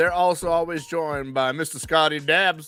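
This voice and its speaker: Music sits in the background. The speech moves at a moderate pace. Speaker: podcast host. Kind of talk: casual chat.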